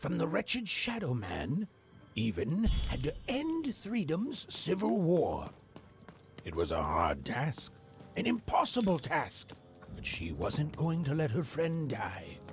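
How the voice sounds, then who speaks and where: A put-on character voice at a middle pitch and fairly slow pace, with clear background noise. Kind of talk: bedtime story. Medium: video game.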